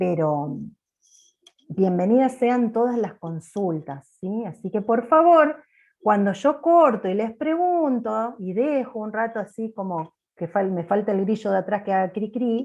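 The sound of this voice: At a fairly slow pace, a woman speaks loudly with a slightly mellow tone, medium pitch and ordinary pitch variation.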